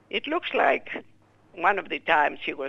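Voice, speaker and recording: A woman speaks with a Greek accent. Her pace is fairly slow. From Greece. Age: 80s+. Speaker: war survivor and widow. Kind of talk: interview testimony.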